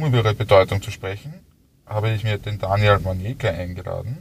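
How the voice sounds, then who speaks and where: A man's fairly low, somewhat breathy voice at a fairly quick pace, with ordinary pitch variation. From Austria, Styria. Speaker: podcast host. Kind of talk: interview.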